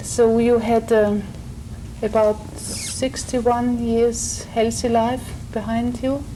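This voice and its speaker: In a German accent, a woman with a fairly high voice talks at a very slow pace in a flat monotone, with audible room echo and noticeable background noise. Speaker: logotherapist, counselor. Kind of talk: live counseling session. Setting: seminar at a congress. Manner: halting, many fillers.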